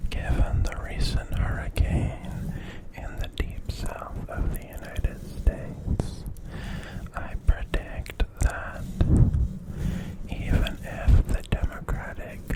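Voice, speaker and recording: Whispering at a very slow pace with long, frequent pauses, the soothing voice sits over noticeable background noise. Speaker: ASMR creator. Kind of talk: ASMR whispered news commentary. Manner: whispered, soothing.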